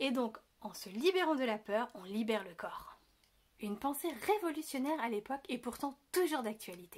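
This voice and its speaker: This woman's high voice moves along at a moderate speed. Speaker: birth preparation coach, video creator. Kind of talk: educational video monologue. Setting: indoors, window open. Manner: casual, lively.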